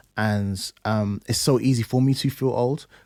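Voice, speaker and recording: On a very clean recording with a silent background, a man with a London accent speaks in a dark, mellow tone, the sound dry and close with no echo. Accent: London English, multicultural youth speech. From East London, England. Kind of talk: casual interview chat.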